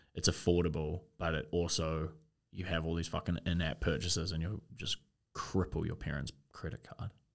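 A man with a very deep, low voice and vocal fry speaks at a moderate pace with fairly even intonation. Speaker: podcast co-host. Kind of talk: casual chat. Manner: joking, casual.

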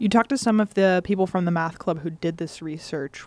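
A woman talks at a fairly quick pace with a fairly low pitch and ordinary pitch variation. She has an unremarkable speaking voice. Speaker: college radio host. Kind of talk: interview and news reading. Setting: studio.

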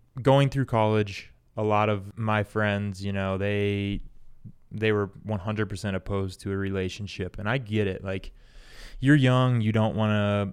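A man with a normal speaking voice, fairly low pitch and fairly even intonation, at a fairly slow pace, on a very clean recording with a silent background. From Indiana, US Midwest. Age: 20s. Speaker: podcast co-host, fitness business owner. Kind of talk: casual chat.

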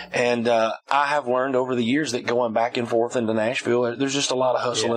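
Speaking very fast at a medium pitch, a man comes through over noticeable background noise. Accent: Southern US. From Alabama, US South. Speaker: music production company owner. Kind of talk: casual interview. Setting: studio.

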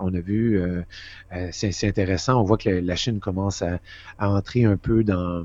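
This man has a fairly low pitch and a dark, mellow tone. He talks at a fairly quick pace with fairly even intonation. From Quebec. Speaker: foreign correspondent. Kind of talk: interview.

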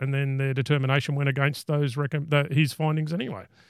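A man speaks with an Australian accent at a very fast pace. His pitch is fairly high and his intonation monotone and flat. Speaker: podcast host. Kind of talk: casual interview chat.

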